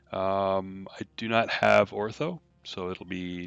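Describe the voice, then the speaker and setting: A man mumbles in a fairly low pitch with ordinary pitch variation. Music plays in the background. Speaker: flight sim streamer. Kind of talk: live stream commentary. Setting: live stream with game audio. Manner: mumbling; halting, many fillers.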